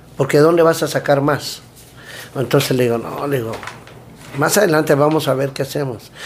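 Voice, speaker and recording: Against noticeable background noise, a man with a fairly high pitch talks at a fairly quick pace with fairly even intonation and long, frequent pauses. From Mexico City. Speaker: food truck owner and cook. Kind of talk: casual interview chat.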